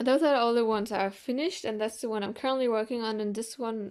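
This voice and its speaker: With fairly even intonation, a woman speaks at a fairly high pitch in a German accent. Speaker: art YouTuber. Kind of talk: sketchbook tour vlog. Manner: casual, hesitant with fillers.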